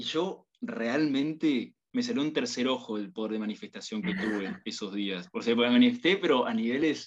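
Using a plain, everyday voice, a man at medium pitch speaks at a moderate pace with lively intonation. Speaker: university student. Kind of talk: casual chat.

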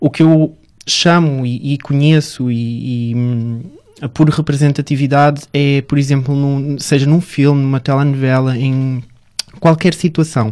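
A man talks at a fairly slow pace with a fairly high pitch and fairly even intonation. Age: 20s. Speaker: founder of an LGBT media outlet, model and actor. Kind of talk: interview.

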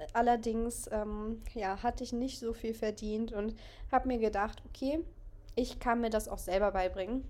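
Speaking at a moderate pace, a woman with an ordinary speaking voice has a fairly high pitch and fairly even intonation. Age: 20s. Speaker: photographer and podcast host. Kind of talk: casual solo monologue.

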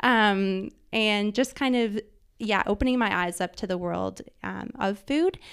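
A woman with a Canadian accent has an ordinary speaking voice at medium pitch, talking at a fairly slow pace in a very clean recording with a silent background. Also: ordinary pitch variation. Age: 30s. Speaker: food stylist and photographer. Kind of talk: casual chat.

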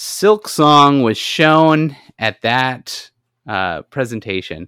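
A man with a bright, sharp tone and lively intonation, dry and close with no echo, on a very clean recording with a silent background. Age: 30s. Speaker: gaming podcast co-host. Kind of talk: casual chat.

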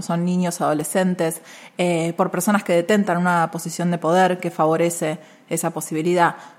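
Her intonation monotone and flat, a woman speaks fairly quickly with a fairly low pitch. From Argentina, Buenos Aires area (Caseros). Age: young. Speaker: feminist lawyer and activist. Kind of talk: interview conversation. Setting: university venue.

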